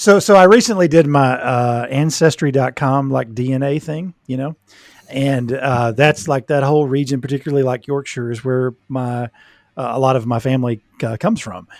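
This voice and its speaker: In an American accent, the speaker has a plain, everyday voice, moderate pace and ordinary pitch variation. The recording is very clean with a silent background and a dry, close sound with no echo. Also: man, medium pitch for a man. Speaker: podcast co-host, mental health professional. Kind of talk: casual chat.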